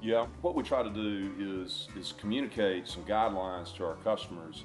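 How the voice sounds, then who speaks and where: A man's fairly low voice over clear music in the background. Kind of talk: interview answer. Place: home room. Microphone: lapel.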